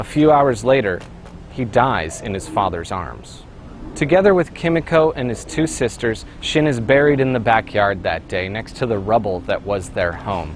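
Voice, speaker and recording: A man at a medium pitch talks with very wide pitch swings over noticeable background noise. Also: moderate pace. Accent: North American. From North America (US and Canada). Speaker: video essayist. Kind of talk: scripted narration.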